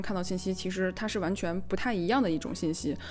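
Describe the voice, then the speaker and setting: A woman speaks at a very fast pace with a medium pitch and ordinary pitch variation. Audible room echo surrounds her voice. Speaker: podcast co-host. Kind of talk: casual chat. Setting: voice call. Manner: loud, gets excited.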